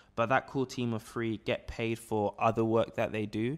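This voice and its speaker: In a very clean recording with a silent background, a man with a London accent speaks fairly quickly at a fairly low pitch. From South London (Peckham, Camberwell). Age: 20s. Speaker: entrepreneur. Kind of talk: casual interview. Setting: office.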